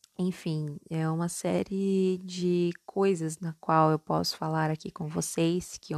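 Her fairly low voice flat and monotone, a woman speaks fairly slowly, the sound dry and close with no echo on a very clean recording with a silent background. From Minas Gerais, Brazil (born in São Paulo). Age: 20s. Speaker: podcast host, psychology student. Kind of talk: casual solo monologue. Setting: at home, homemade recording.

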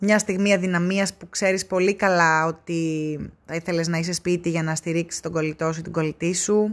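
A woman's monotone, flat delivery at a moderate pace, with big swings in loudness, on a very clean recording with a silent background. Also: fairly low pitch for a woman. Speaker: travel podcaster. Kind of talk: casual solo monologue. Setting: in a car.

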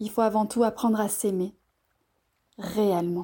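Her tone dark and mellow, a woman talks at a fairly high pitch and a moderate pace. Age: 30s. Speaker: journalist and author. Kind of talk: reading aloud own text; personal health testimony.

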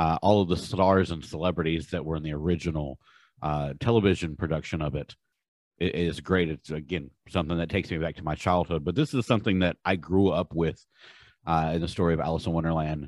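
With a very deep, low pitch and fairly even intonation, a man is heard in dry, close sound with no echo over a quiet background. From Durham, North Carolina. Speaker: show co-host. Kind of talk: casual chat. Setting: online video show.

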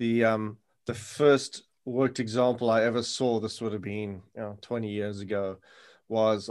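A man's medium-pitched voice at a fairly quick pace, monotone and flat, over a quiet background. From South Africa. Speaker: podcast host and sustainable investing lecturer. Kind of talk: interview.

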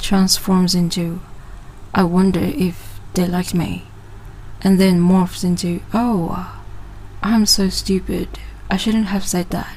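A woman's medium-pitched voice, very slow and monotone, with long, frequent pauses and noticeable background noise. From Sabah, Malaysia. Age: 20s. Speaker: podcast host. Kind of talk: casual monologue. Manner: casual, hesitant.

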